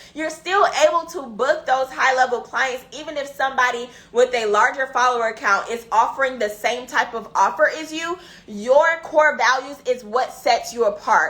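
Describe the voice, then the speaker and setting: A woman speaks at a high pitch in a raised, projected voice with lively intonation and an animated tone, at a moderate pace. Noticeable background noise is present. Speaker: business coach. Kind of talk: live stream teaching.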